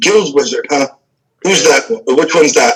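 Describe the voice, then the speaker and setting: Putting on a character voice, a man speaks raspy and fairly high-pitched at a moderate pace. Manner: gruff.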